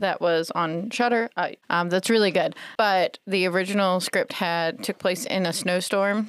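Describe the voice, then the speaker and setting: In an American accent, a woman with a plain, everyday voice talks at a medium pitch with fairly even intonation and hardly any pauses, the sound dry and close with no echo. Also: fairly slow pace, very even loudness. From South Carolina. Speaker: library staff member. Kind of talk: casual chat.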